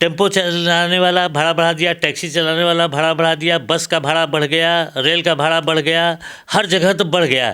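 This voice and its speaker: In a very clean recording with a silent background, a man with a high pitch and a bright, sharp tone speaks with monotone, flat intonation, very even loudness and hardly any pauses. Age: 70s. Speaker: professor; political commentator. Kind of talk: interview. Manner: halting.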